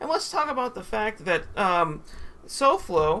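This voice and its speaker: A man's raised, projected voice with very wide pitch swings. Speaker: YouTuber. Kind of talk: casual commentary to camera. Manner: hesitant, many fillers.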